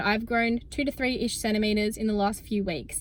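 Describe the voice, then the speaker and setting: With an Australian accent, a woman speaks at a fairly quick pace. Her pitch is fairly high. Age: 20s. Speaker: student athlete and vlogger. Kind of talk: casual vlog talk to camera. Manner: fast, chatty.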